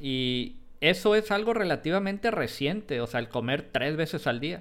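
Heard on a very clean recording with a silent background, an ordinary speaking voice keeps a moderate pace. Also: man. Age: 40s. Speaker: podcast co-host. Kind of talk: casual chat. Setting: live stream.

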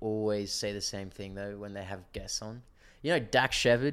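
In a very clean recording with a silent background, a man with an Australian accent talks at a fairly quick pace and a fairly low pitch. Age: 20s. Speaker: tradesman. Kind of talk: casual chat.

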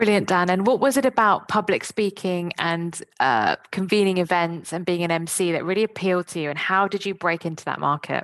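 In a normal speaking voice, a woman at medium pitch talks at a fairly quick pace with hardly any pauses, in a dry, close sound with no echo. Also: ordinary pitch variation. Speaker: podcast host. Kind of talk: podcast interview.

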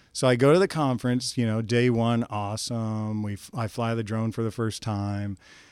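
This is an ordinary speaking voice with an American accent at a moderate pace. The recording is very clean with a silent background. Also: man. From northeast Kansas, US Midwest. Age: 50s. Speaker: drone business owner. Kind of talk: casual chat.

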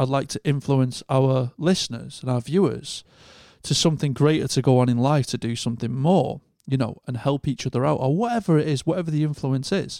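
On a very clean recording with a silent background, a man with a northern English accent speaks at a moderate pace and fairly high pitch with ordinary pitch variation, the sound dry and close with no echo. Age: 30s. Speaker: podcast host. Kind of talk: casual chat.

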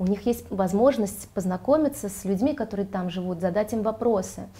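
A woman at a medium pitch speaks with vocal fry and a dark, mellow tone. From Riga, Latvia (born in Ganja, Azerbaijan). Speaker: children's theatre director and drama teacher. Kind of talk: interview. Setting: hotel, filmed studio-style.

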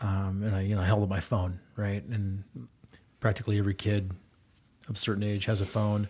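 A man's fairly low, somewhat breathy voice in a monotone, flat intonation, at a fairly quick pace broken by long, frequent pauses. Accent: American. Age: 40s. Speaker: youth basketball coach. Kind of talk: casual chat.

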